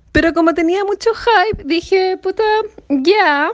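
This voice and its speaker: A woman speaks at a moderate pace. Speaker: listener sending audio comments. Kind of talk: recorded voice message.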